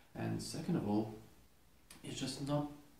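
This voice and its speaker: A man's somewhat breathy, dark and mellow voice at a medium pitch, with a Lithuanian accent and audible room echo. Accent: foreign accent, Lithuanian. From Lithuania, Klaipėda. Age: 20s. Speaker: custom knife maker. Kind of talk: casual video monologue. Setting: home workshop.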